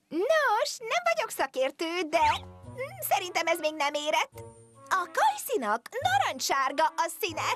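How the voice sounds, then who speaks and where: A put-on character voice, female-sounding and extremely high in pitch, plays over faint music in the background. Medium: fan dub. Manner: soft-spoken, polite.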